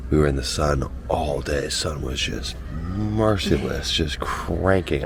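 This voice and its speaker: A man's very deep, low pitch amid noticeable background noise. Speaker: travel vlogger. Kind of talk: casual vlog narration. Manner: animated.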